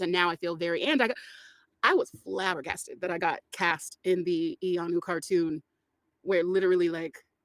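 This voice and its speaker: A woman's fairly low voice with an American accent. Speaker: voice actor. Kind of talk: casual chat. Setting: podcast. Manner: animated; halting.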